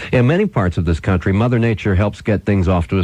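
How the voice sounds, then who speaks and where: Noticeable background noise accompanies a man with an American accent. He speaks at a moderate pace with ordinary pitch variation. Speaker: radio host. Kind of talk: radio storytelling. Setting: radio broadcast recorded on cassette.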